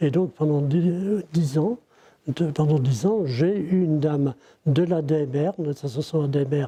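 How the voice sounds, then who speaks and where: The voice is dark and mellow, somewhat breathy, with very even loudness, ordinary pitch variation and a fairly slow pace. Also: man, fairly high pitch for a man. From Ille-et-Vilaine, Brittany, France. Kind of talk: interview answer. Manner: hesitant.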